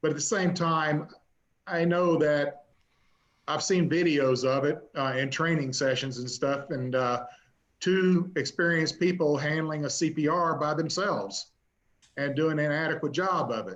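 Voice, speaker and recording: A man speaks in a normal speaking voice at a fairly high pitch. His pace is fairly slow, and his pitch varies in an ordinary way. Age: 60s. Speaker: city council member and firefighter. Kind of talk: council meeting discussion.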